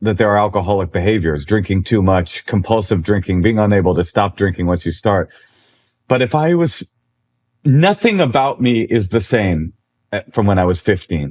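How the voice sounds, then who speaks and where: A man's plain, everyday voice, fairly low in pitch, with lively intonation, very even loudness and a moderate pace. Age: 40s. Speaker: comedian. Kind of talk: casual chat.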